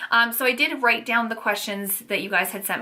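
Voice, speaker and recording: At a fairly quick pace, a woman speaks with fairly high pitch over noticeable background noise. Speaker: lifestyle vlogger. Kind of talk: casual vlog Q&A. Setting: home nursery.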